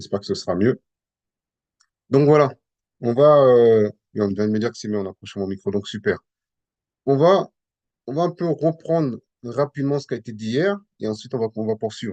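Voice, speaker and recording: A man's dark, mellow voice with lively intonation and long, frequent pauses, dry and close with no echo. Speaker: Bible teacher. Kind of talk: Bible teaching session. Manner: hesitant, many repetitions.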